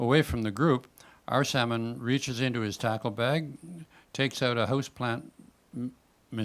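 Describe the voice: The plain reading aloud keeps a fairly even intonation throughout.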